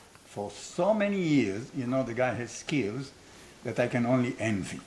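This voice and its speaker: A man speaks with an Israeli accent. His pitch swings very widely. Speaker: business school founder, former strategy professor. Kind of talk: casual conversation.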